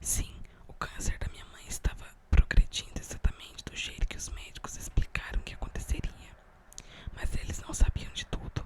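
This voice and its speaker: Whispering at a moderate pace, a woman shows big swings in loudness over noticeable background noise. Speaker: ASMR creator. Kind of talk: ASMR book reading. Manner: whispered.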